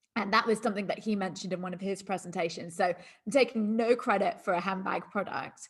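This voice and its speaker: Somewhat breathy and at medium pitch, a woman speaks very fast with ordinary pitch variation. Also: hardly any pauses. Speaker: network marketing sales trainer. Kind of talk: training webinar presentation.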